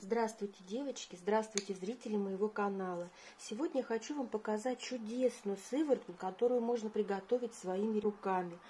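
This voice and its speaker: A somewhat breathy woman's voice, fairly high in pitch, with a dark, mellow tone. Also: ordinary pitch variation, moderate pace. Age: 50s. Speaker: beauty vlogger. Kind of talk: tutorial.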